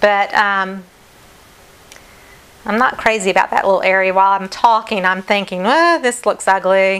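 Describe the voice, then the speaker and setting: A woman with a Southern US accent speaks at a moderate pace and medium pitch, her intonation fairly even and loudness very even, with long, frequent pauses. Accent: southern twang. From North Carolina, US South. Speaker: acrylic fluid artist. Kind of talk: live stream art demonstration. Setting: live stream at home.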